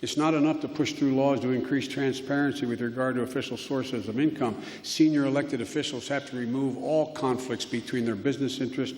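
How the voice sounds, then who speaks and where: Against noticeable background noise, a man with an American accent speaks at a very fast pace in a monotone, flat intonation. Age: 70s. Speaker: politician giving a parliamentary address. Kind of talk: formal political speech. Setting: parliament hall.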